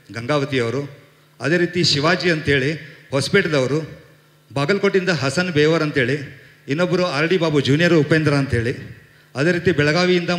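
The speech carries ordinary pitch variation. Audible echo from the room surrounds it. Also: man. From North Karnataka (Hubballi); Karnataka. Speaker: film producer. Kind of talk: press event speech. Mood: confident, grateful. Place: stage. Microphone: handheld.

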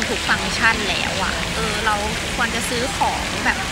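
Loud background noise fills a dry sound that has no echo. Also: woman. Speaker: vlogger. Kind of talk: casual vlog chat. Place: market. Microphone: phone near.

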